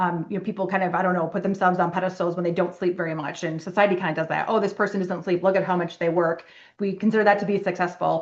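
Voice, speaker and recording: Over a quiet background, a woman with a medium-pitched voice speaks at a very fast pace in a monotone, flat intonation, with hardly any pauses. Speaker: physician and yoga instructor. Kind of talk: webinar presentation.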